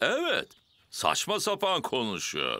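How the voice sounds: A man puts on a character voice at medium pitch, with a bright, sharp tone. His pitch swings very widely, and his pace is fairly slow.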